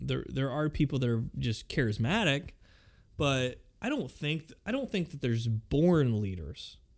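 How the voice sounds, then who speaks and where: A man with an American accent, fairly high in pitch, lively in intonation and fairly slow in pace, on a very clean recording with a silent background. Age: 30s. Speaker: podcast host. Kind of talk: solo podcast monologue. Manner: halting, many fillers.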